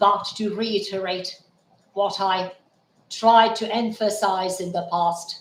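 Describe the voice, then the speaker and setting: A man talks very slowly in a high pitch. His intonation stays fairly even. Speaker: YouTube commentator. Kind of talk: live-streamed monologue. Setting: home, late evening. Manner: formal.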